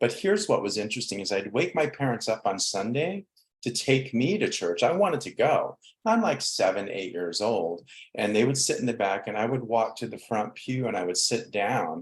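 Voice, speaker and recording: A man is speaking at a medium pitch. He has a plain, everyday voice. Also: lively intonation, moderate pace. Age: 60s. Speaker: spiritual counselor. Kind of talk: interview.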